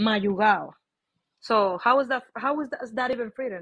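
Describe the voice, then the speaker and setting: Against a quiet background, a woman speaks in a high voice. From Dominican Republic. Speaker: livestream call-in guest; guest. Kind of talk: casual discussion. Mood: argumentative, indignant. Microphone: phone near.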